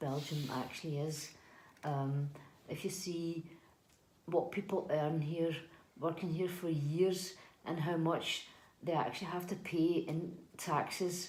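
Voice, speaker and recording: A woman with a Scottish accent, fairly low pitch, a dark, mellow tone, ordinary pitch variation, a fairly slow pace and audible room echo. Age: 40s. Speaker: housekeeper. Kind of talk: interview. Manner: hesitant, many fillers and repeats.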